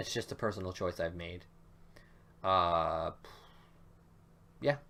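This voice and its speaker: Loud and fairly slow, a man speaks at a very deep, low pitch in a bright, sharp tone. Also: ordinary pitch variation. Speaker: gaming YouTuber. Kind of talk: let's play commentary. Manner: casual, hesitant fillers.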